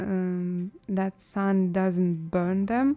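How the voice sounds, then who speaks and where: With music in the background, a woman with a non-native accent speaks at a very slow pace. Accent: non-native English, self-noted pronunciation. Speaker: artist and live streamer. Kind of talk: casual live-stream chat while painting. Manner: halting, many fillers and repetitions.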